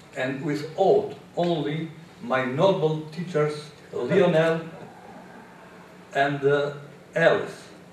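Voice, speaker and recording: A man's very slow delivery with long, frequent pauses, fairly high pitch and fairly even intonation, amid noticeable background noise and audible room echo. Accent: Albanian. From Albania. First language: Albanian. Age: 70s. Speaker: English learner, immigrant. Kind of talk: prepared speech. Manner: halting.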